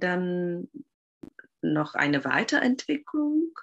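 The woman's voice sits at medium pitch. She speaks at a very slow pace. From Czech Republic. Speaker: Waldorf teacher. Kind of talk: interview. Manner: halting.

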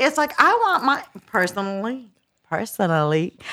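With an American accent, a woman speaks at a fairly quick pace in a raised, projected voice, her pitch swinging very widely. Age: 30s. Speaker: podcast guest, single mother. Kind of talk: casual chat. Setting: studio.

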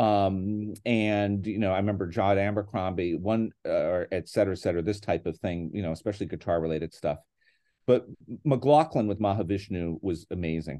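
With an American accent, a man speaks at a fairly low pitch and a fairly quick pace, his pitch varying in an ordinary way. His tone is dark and mellow, with a quiet background. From northeastern Pennsylvania (Scranton). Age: 60s. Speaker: guitarist and classics professor. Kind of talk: casual interview chat. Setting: video call.

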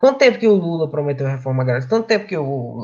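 A man with a fairly high, somewhat breathy voice swings his pitch very widely. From Brazil, Rio Grande do Norte. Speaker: study group member. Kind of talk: presentation in online study group.

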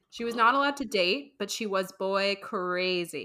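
At a fairly slow pace, the voice comes across with an animated, bright, sharp tone. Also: woman. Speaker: podcast co-host. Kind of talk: casual chat. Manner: giggly, animated.

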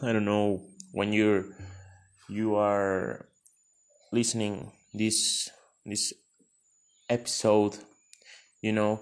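In a Spanish accent, a man speaks at a fairly low pitch with monotone, flat intonation. His pace is very slow, with long, frequent pauses. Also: quiet background. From Mexico. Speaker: podcaster. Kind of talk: personal story monologue. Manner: halting.

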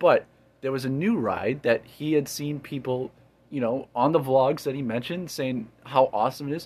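With an American accent, a man speaks in a normal speaking voice at a medium pitch. His pace is moderate, and his pitch varies in an ordinary way. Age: 20s. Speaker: podcast host. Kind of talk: casual chat.

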